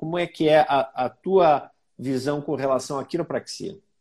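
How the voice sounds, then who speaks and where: At a fairly slow pace, a man speaks with a fairly high pitch and a dark, mellow tone. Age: 40s. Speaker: doctor hosting a health live stream. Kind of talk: live stream interview. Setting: online live stream with viewers.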